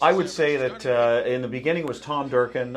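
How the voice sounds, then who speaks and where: A moderate pace with ordinary pitch variation. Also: man. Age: 60s. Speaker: racetrack announcer. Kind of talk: interview. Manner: clear enunciation; hesitant.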